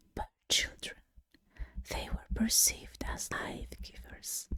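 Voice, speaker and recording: A woman's whisper. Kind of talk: ASMR whispered educational narration. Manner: whispered, soft.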